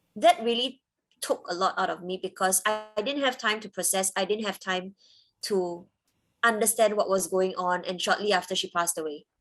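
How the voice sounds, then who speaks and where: Music plays in the background as a woman talks at a moderate pace and a medium pitch. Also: ordinary pitch variation. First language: Cantonese. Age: 30s. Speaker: interviewee sharing life story. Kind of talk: interview testimony.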